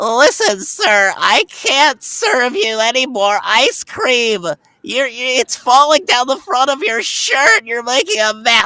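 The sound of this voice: A female-sounding put-on character voice with a high pitch moves at a fairly slow pace with hardly any pauses.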